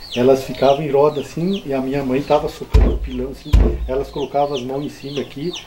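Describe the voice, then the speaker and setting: With noticeable background noise behind him, a man of fairly high pitch speaks at a fairly quick pace. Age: 60s. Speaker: farmer. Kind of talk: oral history interview. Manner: halting.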